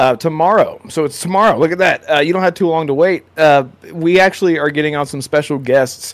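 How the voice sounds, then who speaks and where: An unremarkable speaking voice from a man, fairly high in pitch, at a fairly quick pace with ordinary pitch variation. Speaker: content creator. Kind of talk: casual chat.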